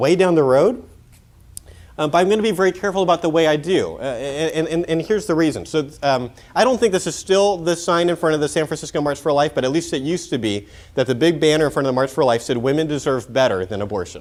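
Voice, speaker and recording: A man's fairly high voice, very fast and lively in intonation. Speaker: pro-life speaker. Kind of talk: conference talk. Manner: casual, filler-heavy.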